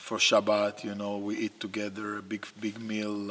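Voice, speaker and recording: This is a man with an Israeli accent. His pitch sits fairly low. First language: Hebrew. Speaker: basketball coach. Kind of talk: interview. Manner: halting.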